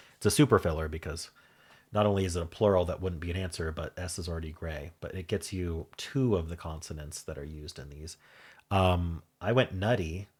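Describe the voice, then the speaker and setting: With an American accent, a man speaks at a fairly quick pace in a very deep, low pitch, somewhat breathy, with ordinary pitch variation and big swings in loudness, on a very clean recording with a silent background. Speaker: puzzle game YouTuber. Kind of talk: casual solo commentary while solving a puzzle. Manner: thinking aloud, hesitant with fillers.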